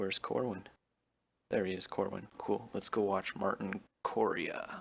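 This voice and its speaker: A man speaks softly at a fairly slow pace. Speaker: gaming youtuber. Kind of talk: gameplay commentary. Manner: soft-spoken, under breath.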